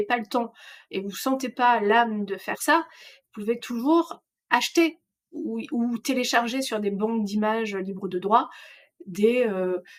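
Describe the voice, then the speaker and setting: Against a quiet background, a woman speaks at a fairly slow pace with a fairly high pitch and ordinary pitch variation. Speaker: trainer; trainer presenting slides. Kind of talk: online course lecture. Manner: hesitant, many fillers. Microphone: webcam.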